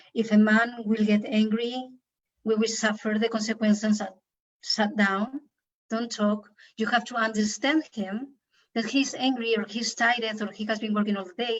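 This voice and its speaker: Somewhat breathy, the voice carries a non-native accent and moves at a moderate pace with monotone, flat intonation. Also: woman, fairly high pitch for a woman. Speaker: women's workshop leader. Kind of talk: interview. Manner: halting.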